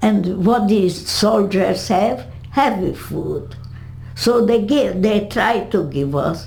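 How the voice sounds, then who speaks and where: A woman with a Hungarian accent speaks very slowly at a medium pitch, her pitch swinging very widely. Audible room echo and noticeable background noise surround her. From Hungary. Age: 80s+. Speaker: Holocaust survivor. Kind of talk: interview. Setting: home. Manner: halting.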